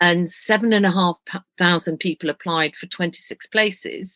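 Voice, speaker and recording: In a Yorkshire accent, a woman of medium pitch talks at a fairly quick pace with a bright, sharp tone, the sound dry and close with no echo. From northern England, Leeds, Yorkshire. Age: 60s. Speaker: retired broadcast journalist. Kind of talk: podcast interview.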